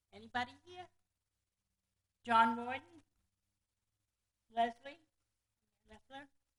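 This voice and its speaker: A loud, high-pitched woman's voice at a fairly slow pace, broken by long, frequent pauses. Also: ordinary pitch variation. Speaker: board chair. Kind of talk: public meeting chairing; reading aloud.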